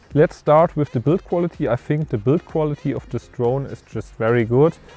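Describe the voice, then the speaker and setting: With a German accent, a man speaks at a moderate pace and a fairly high pitch, with ordinary pitch variation, music in the background, and a dry, close sound with no echo. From Germany. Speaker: filmmaker and tech reviewer. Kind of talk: product review. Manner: casual, with hesitations.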